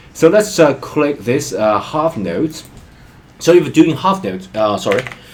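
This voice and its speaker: A man's fairly high voice with a non-native accent, very wide pitch swings and a fairly slow pace, over noticeable background noise. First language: not English. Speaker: music learning vlogger. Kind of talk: tutorial.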